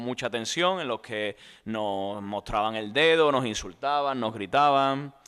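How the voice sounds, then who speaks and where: A man with a plain, everyday voice at a medium pitch, ordinary pitch variation and a fairly slow pace. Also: quiet background. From Spain, Andalusia (Tomares, Seville). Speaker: journalist and author. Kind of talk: book presentation interview. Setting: book fair talk with audience.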